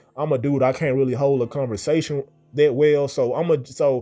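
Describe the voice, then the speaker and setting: Music plays behind a man whose speech has ordinary pitch variation. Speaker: dating advice streamer. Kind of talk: casual monologue. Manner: repetitive, halting.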